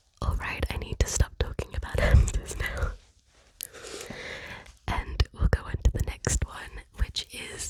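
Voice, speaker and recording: Someone whispers at a fairly slow pace with long, frequent pauses over noticeable background noise. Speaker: ASMR creator. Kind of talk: ASMR whispered rambling. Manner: whispered.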